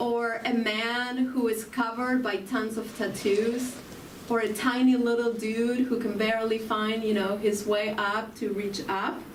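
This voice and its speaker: A voice with an Argentine accent speaks at a fairly slow pace with monotone, flat intonation. There is noticeable background noise and audible room echo. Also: woman, fairly high pitch for a woman. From Argentina. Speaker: spiritual speaker. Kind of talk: spiritual talk.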